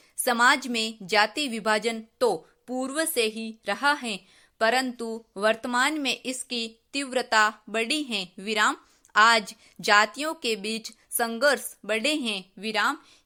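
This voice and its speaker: Recorded very cleanly over a silent background, a woman's fairly high, bright, sharp voice shows ordinary pitch variation. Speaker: dictation reader. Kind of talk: shorthand dictation practice read. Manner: slow, measured.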